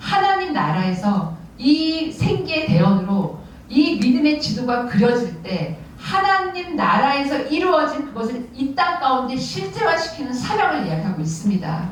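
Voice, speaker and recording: Through audible room echo and noticeable background noise, a woman's high-pitched voice makes very wide pitch swings. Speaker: parents' prayer group leader, guest speaker. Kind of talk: sermon. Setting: church service. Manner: fast.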